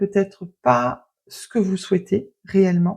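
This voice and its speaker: In a very clean recording with a silent background, a woman speaks at a very slow pace with very wide pitch swings. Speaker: tarot card reader. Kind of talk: card reading. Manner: quiet; hesitant.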